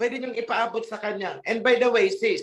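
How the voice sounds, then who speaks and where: A man's extremely high voice, fairly slow, with lively intonation. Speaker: religious group leader. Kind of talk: question and answer session. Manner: sounds stern or angry.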